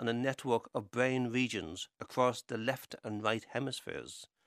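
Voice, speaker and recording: Recorded very cleanly against a silent background, a man talks at a moderate pace. His medium-pitched voice has a dry, close sound with no echo. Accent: Irish. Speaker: writer. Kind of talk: scripted narration.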